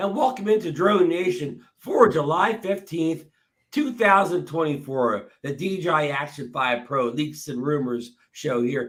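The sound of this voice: This put-on character voice is hoarse and husky, moving at a fairly slow pace. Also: man, fairly high pitch for a man.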